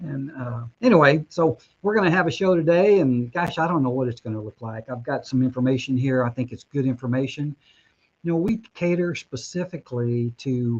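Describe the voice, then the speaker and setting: An unremarkable speaking voice belongs to a man with fairly high pitch and ordinary pitch variation. His moderate pace comes through a dry, close sound with no echo. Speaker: mortgage broker and show host. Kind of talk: webinar presentation.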